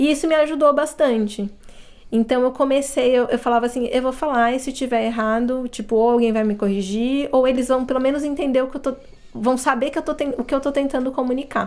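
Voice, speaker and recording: Her pitch is high, and this woman keeps a fairly quick pace. The intonation stays fairly even. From Brazil. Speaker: accountant, immigrant interviewee. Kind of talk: casual interview chat.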